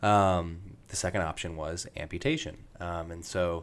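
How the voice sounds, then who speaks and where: In a Midwestern American accent, a man speaks with a very deep, low pitch and monotone, flat intonation. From US Midwest, rural Indiana. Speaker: medical student and Paralympic athlete. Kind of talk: interview. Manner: hesitant, many fillers.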